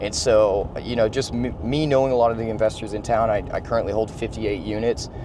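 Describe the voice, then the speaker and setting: Over noticeable background noise, a man rushes along at a very fast pace with hardly any pauses and ordinary pitch variation. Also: medium pitch for a man. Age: 20s. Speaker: real estate investor. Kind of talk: casual vlog talk. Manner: casual, repetitive.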